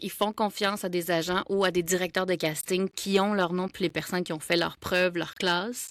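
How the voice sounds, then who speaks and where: A woman in a Quebec accent talks at medium pitch with monotone, flat intonation, in a dry, close sound with no echo and a very clean recording over a silent background. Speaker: voice actor. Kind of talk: casual interview chat.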